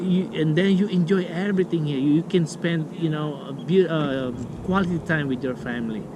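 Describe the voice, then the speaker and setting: A speaker with a non-native accent talks at a moderate pace. Audible room echo and noticeable background noise surround the voice. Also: man. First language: not English. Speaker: vlogger. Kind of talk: casual vlog talk. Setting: outdoors. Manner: halting.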